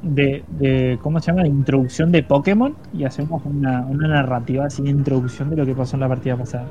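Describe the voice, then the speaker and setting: With music in the background, a man talks at a fairly quick pace with hardly any pauses. His fairly high voice has ordinary pitch variation. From Argentina, Paraná, Entre Ríos. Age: 20s. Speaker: tabletop roleplaying YouTuber and podcast co-host. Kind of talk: casual chat. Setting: live stream.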